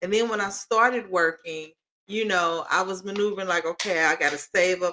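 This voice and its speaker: A woman talks at a moderate pace in a medium-pitched voice. Her pitch varies in an ordinary way. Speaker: podcast co-host, mother co-parenting. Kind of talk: casual chat. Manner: loud.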